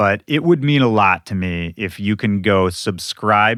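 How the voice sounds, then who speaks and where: A man speaks fairly slowly in a normal speaking voice. He has an American accent. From Minnesota, US Midwest. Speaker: podcast host, DJ. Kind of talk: podcast intro monologue. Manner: casual, conversational.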